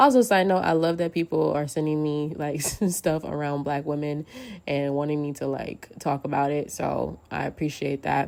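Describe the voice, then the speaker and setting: With fairly even intonation, a woman with a very deep, low pitch speaks at a moderate pace. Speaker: podcast host. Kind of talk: casual monologue. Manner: casual, frequent fillers.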